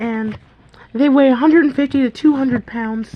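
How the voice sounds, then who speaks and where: A woman speaks with fairly even intonation. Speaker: YouTuber presenting own fantasy world. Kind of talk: reading aloud with commentary. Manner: casual.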